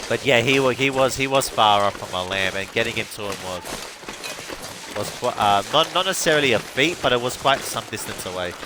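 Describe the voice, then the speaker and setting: Lively intonation at a fairly quick pace, over noticeable background noise. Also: man, medium pitch for a man. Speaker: gaming streamer. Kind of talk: live gameplay commentary. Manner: halting, many repetitions.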